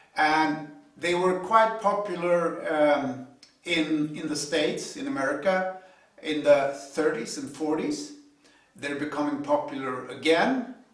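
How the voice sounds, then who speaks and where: A man with a non-native accent speaks at a fairly slow pace in a fairly high pitch with ordinary pitch variation. Noticeable background noise and audible room echo are present. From Sweden. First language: Swedish. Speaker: hobby car and trailer builder. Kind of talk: video tutorial intro. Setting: home garage. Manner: hesitant, many fillers.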